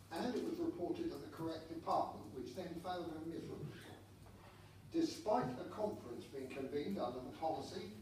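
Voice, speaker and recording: Speaking at a fairly quick pace, a high-pitched man uses lively intonation, with audible room echo and noticeable background noise. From southern England, Portsmouth. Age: 60s. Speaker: journalist and former politician. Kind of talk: public deputation speech. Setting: council meeting. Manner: formal.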